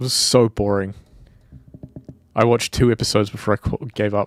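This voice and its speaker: A man with a New Zealand accent, fairly low in pitch, at a fairly quick pace, with monotone, flat intonation and long, frequent pauses. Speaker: indie game developer streamer. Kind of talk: casual live stream chat. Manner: casual, rambling with fillers.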